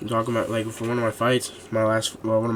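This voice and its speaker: Over noticeable background noise, a man talks at a fairly quick pace and a medium pitch. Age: young. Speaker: MMA fighter and podcast co-host. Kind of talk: casual chat. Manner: animated.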